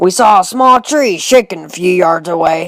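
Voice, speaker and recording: A man's high, put-on character voice at a fairly slow pace, with ordinary pitch variation. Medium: voice reel. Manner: folksy, drawling.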